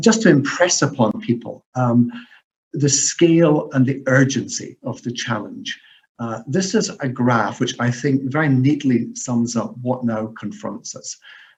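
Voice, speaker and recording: A man's somewhat breathy voice with lively intonation at a fairly slow pace. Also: medium pitch for a man. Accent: Scottish. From Scotland. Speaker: professor. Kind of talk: lecture. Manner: hesitant with many fillers.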